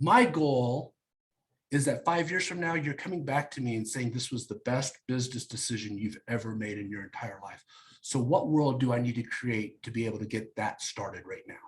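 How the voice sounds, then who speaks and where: This man has an American accent and a medium pitch. His voice is somewhat breathy. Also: ordinary pitch variation. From Kansas, US Midwest. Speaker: real estate team leader and recruiter. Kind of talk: coaching talk on a group call. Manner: fast; energetic.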